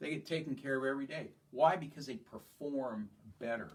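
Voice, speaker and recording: A man, his voice somewhat breathy, talks at an even, middling speed while his intonation stays lively. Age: 60s. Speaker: chiropractor. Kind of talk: health talk to patients. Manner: casual, conversational.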